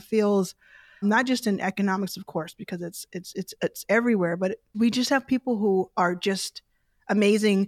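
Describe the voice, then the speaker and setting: A woman's plain, everyday voice at a fairly quick pace, dry and close with no echo, on a very clean recording with a silent background. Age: 30s. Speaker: venture capital investor. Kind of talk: casual chat.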